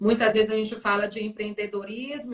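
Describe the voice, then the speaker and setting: With a Bahian accent, a woman speaks at a fairly high pitch and with fairly even intonation. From Bahia, Salvador. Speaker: sales director, former physiotherapist. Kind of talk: live stream interview. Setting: Instagram live.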